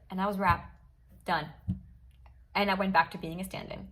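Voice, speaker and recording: In a room with audible echo, a woman speaks in an animated tone, her voice somewhat breathy and fairly low. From Switzerland, Basel. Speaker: actress. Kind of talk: casual storytelling vlog.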